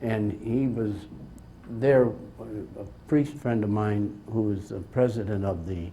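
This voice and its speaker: In a room with audible echo, a man speaks at medium pitch and a moderate pace, his somewhat breathy, dark, mellow voice showing ordinary pitch variation. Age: 80s+. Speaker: bishop. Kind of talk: slide presentation talk. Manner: halting.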